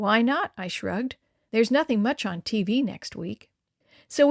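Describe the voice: The plain reading aloud carries lively intonation over a quiet background.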